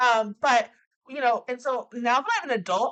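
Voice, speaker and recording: Lively intonation marks a woman's fairly high voice as she speaks at a moderate pace. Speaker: podcast co-host. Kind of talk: casual chat. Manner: loud.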